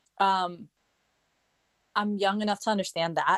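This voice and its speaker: In a dry, close sound with no echo, a woman talks at a moderate pace and medium pitch with monotone, flat intonation. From Denmark. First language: Danish. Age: 30s. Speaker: professional dancer. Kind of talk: interview. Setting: online audio room.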